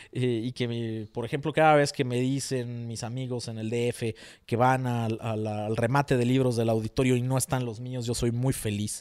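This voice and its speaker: A man speaks at a moderate pace in a monotone with flat intonation. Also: quiet background. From Mexico. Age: 40s. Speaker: writer; interviewee. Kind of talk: interview. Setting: at home. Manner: hesitant with many fillers. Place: home room. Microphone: handheld.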